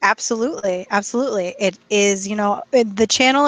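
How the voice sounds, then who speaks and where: At a moderate pace, a woman of medium pitch speaks in a normal speaking voice with an American accent. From USA. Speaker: English teacher. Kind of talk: casual chat.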